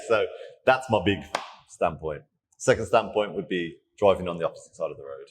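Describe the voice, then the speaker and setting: A man with a British accent speaks in an animated tone. His delivery has big swings in loudness and long, frequent pauses. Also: fairly quick pace. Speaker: fitness coach. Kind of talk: casual interview chat.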